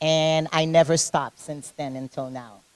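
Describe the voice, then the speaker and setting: A woman with a Caribbean accent speaks at a moderate pace in a fairly low pitch, keeping her intonation fairly even. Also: dry, close sound with no echo. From Haiti. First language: French. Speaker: fitness competitor and personal trainer. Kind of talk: interview. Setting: gym.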